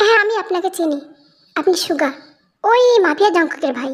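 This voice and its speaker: A woman's put-on character voice, extremely high-pitched, with lively intonation at a moderate pace. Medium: read story. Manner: brisk, sharp.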